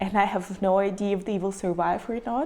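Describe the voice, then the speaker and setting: With music playing in the background, a woman at a medium pitch speaks in a Ukrainian accent with fairly even intonation. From Ukraine, Kharkiv. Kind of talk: personal story to camera.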